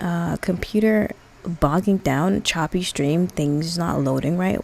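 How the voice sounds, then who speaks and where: A woman speaks softly. Her pitch sits fairly low. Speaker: streamer. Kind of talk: casual chat. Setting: live stream. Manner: soft-spoken. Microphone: mic filters being adjusted, may sound bad.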